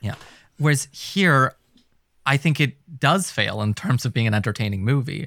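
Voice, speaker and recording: A man talks at a medium pitch and moderate pace with lively intonation, in a normal speaking voice. The recording is very clean, with a silent background. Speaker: podcast co-host. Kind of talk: casual chat.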